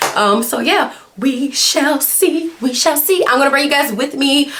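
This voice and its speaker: A woman's animated, high-pitched voice at a moderate pace, with noticeable background noise. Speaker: social work doctoral student and vlogger. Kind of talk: casual vlog. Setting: library. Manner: whispering.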